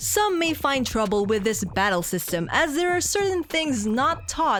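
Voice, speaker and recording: A woman talks at a fairly slow pace, her pitch swinging very widely. Noticeable noise sits in the background. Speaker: game reviewer. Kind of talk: video game review narration.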